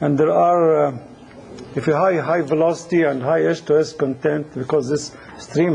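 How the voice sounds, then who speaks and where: A man talks at a moderate pace in a fairly high voice. Noticeable background noise runs under him. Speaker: engineering instructor. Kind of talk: lecture. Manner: hesitant, many fillers.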